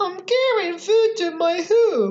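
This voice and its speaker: This is a put-on character voice, female-sounding and squeaky. The pitch is extremely high for a woman. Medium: read story. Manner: polite, firm.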